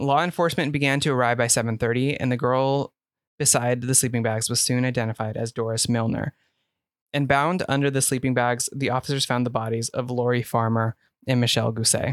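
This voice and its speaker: An ordinary speaking voice moves at a fairly quick pace with fairly even intonation and very even loudness, recorded very clean with a silent background and a dry, close sound with no echo. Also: man, medium pitch for a man. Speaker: podcast host. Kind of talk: casual chat with scripted true-crime narration. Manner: joking, playful banter.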